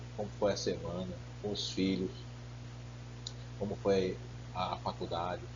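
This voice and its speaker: A man's voice with vocal fry and audible room echo. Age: 50s. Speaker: pastor. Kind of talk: sermon.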